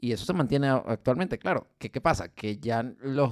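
Here is a man with an unremarkable speaking voice at medium pitch and a moderate pace. The sound is dry and close, with no echo. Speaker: podcast co-host. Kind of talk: casual chat.

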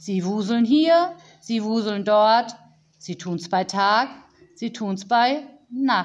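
Delivered in an unforced reading voice, the speech has ordinary pitch variation.

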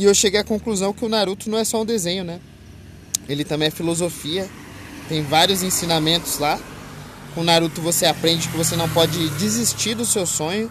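Through noticeable background noise, a man with a high pitch and ordinary pitch variation speaks with long, frequent pauses. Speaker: podcaster. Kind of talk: casual monologue. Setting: outdoors by a busy avenue. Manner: loud; halting.

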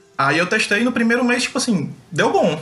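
A man's voice amid noticeable background noise. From Brazil, Fortaleza, Ceará. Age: 30s. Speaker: professional card game player. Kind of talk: casual interview chat.

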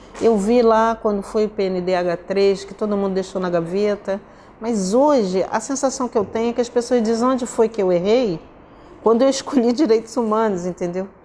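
A woman at a moderate pace, her pitch fairly high with ordinary variation, over noticeable background noise. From Brazil, Rio de Janeiro. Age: 60s. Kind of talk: interview.

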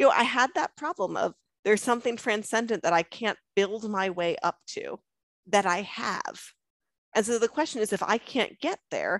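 With an American accent, a woman talks at a moderate pace in an ordinary speaking voice, her fairly high pitch carrying lively intonation over a dry, close sound with no echo in a very clean recording with a silent background. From Long Island, New York. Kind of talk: conversion testimony interview.

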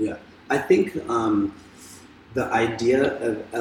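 A man speaks against noticeable background noise. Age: 30s. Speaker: dancer and dance teacher. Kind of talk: interview.

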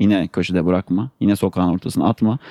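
The voice has a dark, mellow tone and moves at a very fast pace, with a dry, close sound with no echo. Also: man. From Turkey, Ankara. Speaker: sustainability consultant and newsletter editor. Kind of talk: podcast interview.

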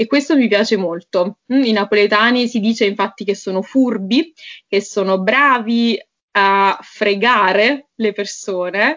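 This is an unremarkable speaking voice, a woman's, fairly high in pitch with ordinary pitch variation. She keeps a fairly slow pace and very even loudness. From Naples area, Italy. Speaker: Italian teacher. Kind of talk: casual interview chat.

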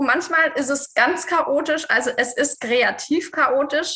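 A woman uses a raised, projected voice. Her tone is bright and sharp. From Swabia, southern Germany. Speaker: fashion designer and numerologist. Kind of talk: podcast interview.

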